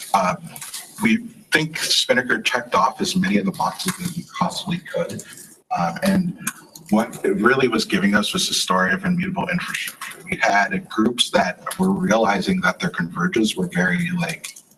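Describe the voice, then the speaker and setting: Noticeable background noise fills the clip. Over it, a man speaks at a moderate speed. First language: not English. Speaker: software engineer. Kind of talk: conference talk. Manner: many filler words (uh, um).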